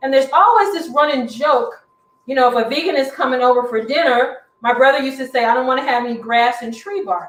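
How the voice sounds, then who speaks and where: Her high-pitched voice is animated, and this woman talks at a very fast pace. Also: ordinary pitch variation. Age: 60s. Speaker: cooking instructor. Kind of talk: cooking demonstration.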